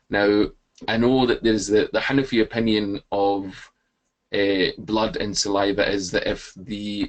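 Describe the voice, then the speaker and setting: A man with a Scottish accent, fairly low in pitch, at a moderate pace. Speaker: webinar participant asking a question. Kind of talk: question to a speaker. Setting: webinar.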